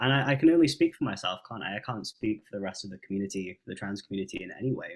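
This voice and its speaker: A man talks at a very fast pace with an English accent. His pitch is fairly low. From England. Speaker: musician and vocalist. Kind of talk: interview. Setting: video call.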